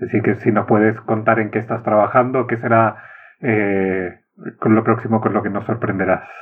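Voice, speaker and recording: This man's voice sits fairly low. His delivery stays monotone and flat. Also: moderate pace. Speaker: podcast host. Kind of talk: interview.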